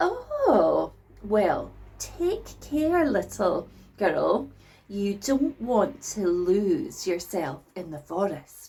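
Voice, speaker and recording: A woman's put-on character voice at medium pitch, delivered at a very slow pace. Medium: read story. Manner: put-on friendliness, sly.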